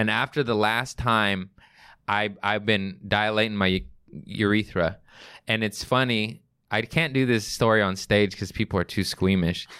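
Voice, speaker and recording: A man speaks with an American accent at a fairly slow pace, his pitch fairly low and his tone bright and sharp. His loudness stays very even, his intonation is fairly even, and the recording is very clean with a silent background. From Los Angeles, US. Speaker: comedian. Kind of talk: casual chat.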